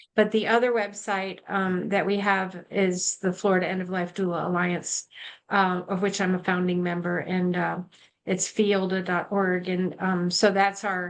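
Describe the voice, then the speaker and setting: A woman speaks at medium pitch and a moderate pace with monotone, flat intonation over a quiet background. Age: 70s. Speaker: end-of-life doula. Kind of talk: panel discussion.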